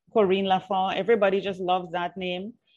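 Medium pitch from a female speaker. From Trinidad. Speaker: PR consultant and podcast host. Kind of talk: interview.

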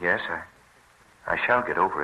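A put-on character voice with a bright, sharp tone and a slightly husky edge. It moves at a moderate pace. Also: man.

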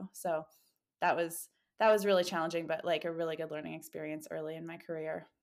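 Speaking very fast in a fairly low, monotone, flat voice with big swings in loudness, a woman with a Canadian accent comes through on a very clean recording with a silent background. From Canada. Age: 30s. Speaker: professional triathlete. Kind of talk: interview.

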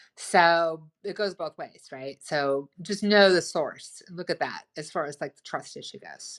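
On a very clean recording with a silent background, a woman speaks in an animated tone at a fairly slow pace with ordinary pitch variation. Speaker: relationship advice speaker. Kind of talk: casual educational talk. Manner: loud, boisterous, enthusiastic; animated, talks a lot.

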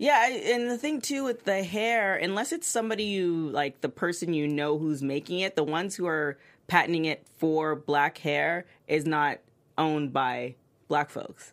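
A normal speaking voice from a woman, fairly low-pitched, with lively intonation at a moderate pace on a very clean recording with a silent background. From Toronto, Canada. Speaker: TV recap panelist. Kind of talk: casual panel discussion.

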